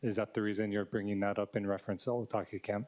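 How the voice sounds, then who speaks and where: The speaker is soft-spoken. The intonation stays fairly even. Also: man. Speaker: city council member. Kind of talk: committee questioning. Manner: soft-spoken, low.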